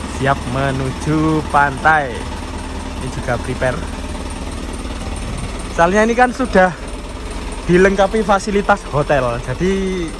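A man speaks with lively intonation at a fairly slow pace, leaving long, frequent pauses, the sound dry with no echo amid noticeable background noise. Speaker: truck vlogger. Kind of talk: casual vlog chat. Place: street. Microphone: phone near.

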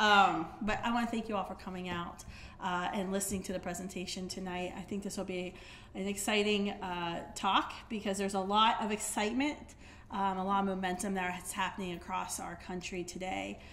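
A woman speaks at a fairly quick pace with fairly even intonation. Light background noise is present. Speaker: speaker. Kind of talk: public talk. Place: hall. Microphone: podium.

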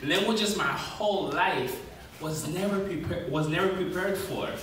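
A man with an American accent, audible room echo and light background noise. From New York City, USA. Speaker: spoken word poet. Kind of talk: spoken word poetry performance. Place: stage.

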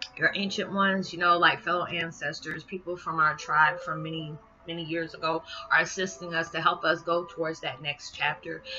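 A woman speaks at a fairly low pitch. Light background noise can be heard. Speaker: spiritual vlogger. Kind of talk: monologue video blog. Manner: fast talker; warm, animated. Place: home room. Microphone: webcam.

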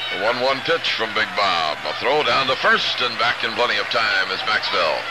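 With loud background noise behind him, a man speaks with hardly any pauses. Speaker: baseball radio announcer. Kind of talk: live sports commentary. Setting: stadium broadcast booth. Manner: brisk, energetic play-by-play. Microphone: old recording.

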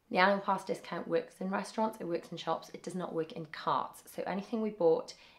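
Her voice sits at a fairly low pitch for a woman, with ordinary pitch variation. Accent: British. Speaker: family travel vlogger. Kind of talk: haul video show-and-tell. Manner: casual, chatty.

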